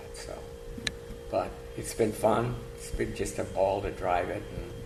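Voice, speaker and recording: With music in the background and audible room echo, a man in an American accent speaks at a fairly slow pace with big swings in loudness. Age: 70s. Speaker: classic car owner. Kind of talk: casual interview.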